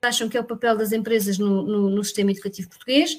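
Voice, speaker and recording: A woman talks at a fairly quick pace. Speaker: teacher. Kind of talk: casual chat. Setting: video call.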